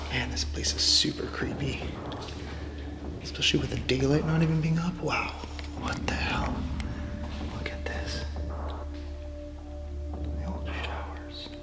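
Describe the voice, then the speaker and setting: Long, frequent pauses break up the fairly slow speech while clear music plays in the background. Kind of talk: casual vlog chat. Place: hall. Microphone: phone near.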